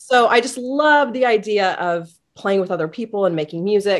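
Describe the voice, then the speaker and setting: With an American accent, a woman uses a plain, everyday voice and lively intonation. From Indiana, US Midwest. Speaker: music teacher, band director. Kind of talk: podcast interview.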